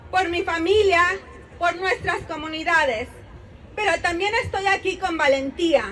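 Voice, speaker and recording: With crowd noise in the background, a woman speaks at a moderate pace in an extremely high voice with ordinary pitch variation. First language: Spanish. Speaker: protest speaker. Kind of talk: rally speech.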